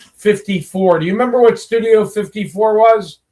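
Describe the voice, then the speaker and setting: A man with an American accent. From US West Coast (San Francisco Bay Area). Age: 60s. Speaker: networking group host. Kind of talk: live show interview. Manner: casual, chatty.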